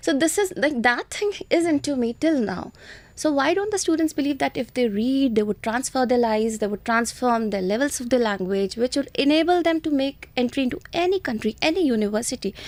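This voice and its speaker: Very wide pitch swings mark this fairly quick speech in an Indian accent. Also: woman, high pitch for a woman. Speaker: IELTS trainer. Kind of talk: interview.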